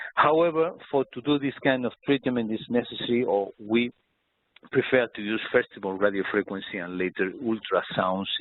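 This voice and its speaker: A man with a Spanish accent at a medium pitch and a moderate pace, with ordinary pitch variation. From Spain. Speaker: doctor. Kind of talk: webinar presentation. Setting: online webinar. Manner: halting.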